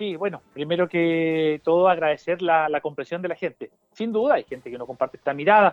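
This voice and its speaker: Over music in the background, a man with a Chilean accent speaks at a fairly quick pace in a high pitch, with hardly any pauses. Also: ordinary pitch variation. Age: 40s. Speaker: mayor and parliamentary candidate. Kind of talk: radio interview. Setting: phone call.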